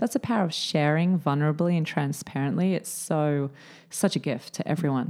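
A fairly quick delivery in an Australian accent, with ordinary pitch variation, on a very clean recording with a silent background. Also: woman, very deep, low pitch for a woman. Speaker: podcast co-host. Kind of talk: casual chat. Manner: animated.

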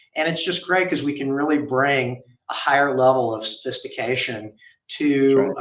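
A man speaks in an American accent with a fairly high pitch. He has a plain, everyday voice with ordinary pitch variation. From US South, Memphis, Tennessee. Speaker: accounting firm managing partner. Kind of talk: interview.

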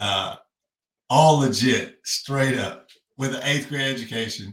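A man with a Kentucky accent, medium pitch, ordinary pitch variation, a somewhat breathy voice and a moderate pace. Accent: US Southern, Kentucky. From Kentucky (Frankfort, Owensboro). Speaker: crypto influencer and finance teacher. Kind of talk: casual chat, personal testimony. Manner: animated.

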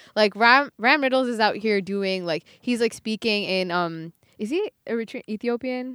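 A woman with a New York accent, fairly high pitch and ordinary pitch variation, at a moderate pace, in a dry, close sound with no echo. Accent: American (New York). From US, New York; raised largely in Buffalo, Western New York. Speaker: musician. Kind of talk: casual chat.

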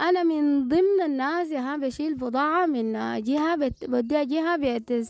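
Through noticeable background noise, a woman speaks fairly slowly in a high voice with ordinary pitch variation. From Sudan, North Darfur. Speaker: former health worker turned trader. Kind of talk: interview testimony. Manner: halting.

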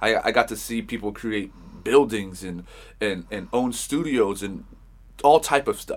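A man with an American accent and an ordinary speaking voice talks at a fairly slow pace in a medium pitch, with ordinary pitch variation and big swings in loudness, on a very clean recording with a silent background. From Los Angeles, Hollywood. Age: 30s. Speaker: music producer and engineer. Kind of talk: casual interview chat.

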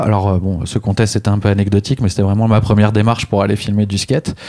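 This man's voice has a dark, mellow tone and a fairly low pitch. He talks at a very fast pace with fairly even intonation. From Réunion (childhood). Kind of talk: casual interview.

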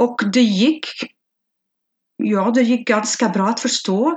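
Her voice sits high for a woman, and its pitch varies in an ordinary way. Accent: Flemish. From Belgium (Flanders). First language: Flemish Dutch (speaking Swedish). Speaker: language learner. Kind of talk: interview. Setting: video call. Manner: halting.

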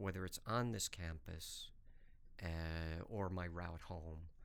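A man with an American accent speaks at a very slow pace. His voice is very deep and low, with audible room echo. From US Northeast (New York, Hartford). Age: 50s. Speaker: professor. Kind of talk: interview. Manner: animated.

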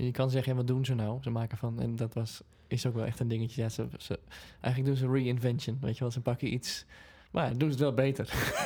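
Fairly quick, monotone speech from a man at a medium pitch. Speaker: singer and podcast co-host. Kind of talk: casual chat.

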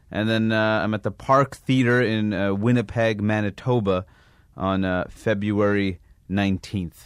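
In an American accent, a man with an unremarkable speaking voice talks at a fairly slow pace, his fairly low pitch held to fairly even intonation, on a very clean recording with a silent background. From New York. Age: 30s. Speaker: stand-up comedian. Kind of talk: casual chat.

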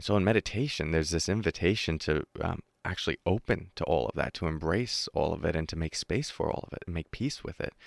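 A man with a very deep, low pitch talks very fast with hardly any pauses. His intonation is lively. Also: dry, close sound with no echo, very clean recording, silent background. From New York. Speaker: mindfulness meditation teacher. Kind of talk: interview. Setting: studio.

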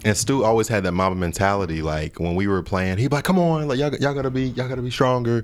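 Hardly pausing, a man with an American accent speaks at a very fast pace and a medium pitch, with lively intonation. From Ohio. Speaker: podcast contributor and charity foundation worker. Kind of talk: casual sports podcast talk.

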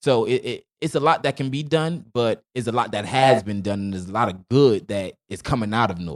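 This man has a medium-pitched voice with an American accent. He talks at a fairly quick pace. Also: lively intonation. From Newark, New Jersey. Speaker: educator and singer. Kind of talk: casual chat.

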